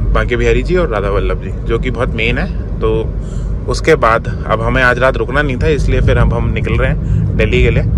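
Over noticeable background noise, a man speaks in a dry sound with no echo. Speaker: driver vlogger. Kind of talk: casual vlog chat. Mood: relaxed. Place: car. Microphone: phone near.

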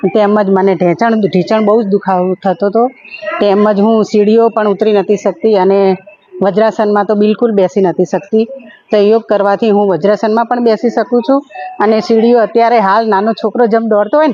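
A woman's fairly high voice, with very even loudness, ordinary pitch variation and noticeable background noise. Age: 50s. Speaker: homemaker and yoga trainer. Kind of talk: interview testimony.

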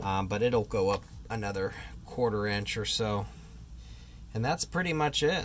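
This man has a fairly low pitch. Light background noise can be heard. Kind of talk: tutorial. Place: street. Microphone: phone near.

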